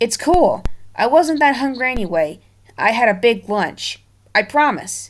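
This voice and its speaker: This female-sounding voice is a put-on character voice with a high pitch for a woman. It moves at a moderate pace. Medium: read story.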